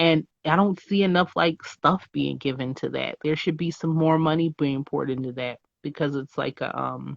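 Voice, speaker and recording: Speaking at a moderate pace with hardly any pauses, a woman with an American accent keeps fairly even intonation in a very deep, low pitch. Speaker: podcast host. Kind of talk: casual interview.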